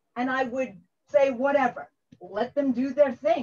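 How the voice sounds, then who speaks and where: A woman with a strong New York accent and a high pitch speaks at a fairly slow pace. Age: 60s. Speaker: engineering educator. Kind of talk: conference workshop talk. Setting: video call from home.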